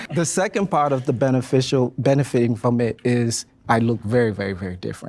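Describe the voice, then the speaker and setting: In a West African accent, the speech runs at a very fast pace with ordinary pitch variation. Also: man, medium pitch for a man. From Ghana. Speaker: panel discussion participant. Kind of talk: panel discussion.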